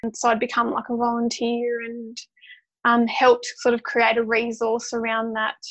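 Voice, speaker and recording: Speaking with an Australian accent, a woman keeps a flat, monotone intonation at a fairly high pitch. Her pace is moderate. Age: 30s. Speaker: social worker and mother. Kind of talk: casual interview.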